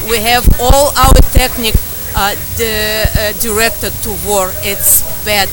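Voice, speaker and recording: Over noticeable background noise and audible room echo, a woman with a Russian accent speaks at a fairly high pitch with fairly even intonation. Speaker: protester. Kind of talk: street interview. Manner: halting.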